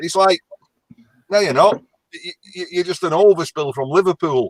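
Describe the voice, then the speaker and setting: A man with a high pitch and a strong Lancashire accent talks at a fairly quick pace, with long, frequent pauses and big swings in loudness. His pitch variation is ordinary, and the sound is dry and close with no echo. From northern England, Lancashire. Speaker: caller. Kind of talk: casual chat.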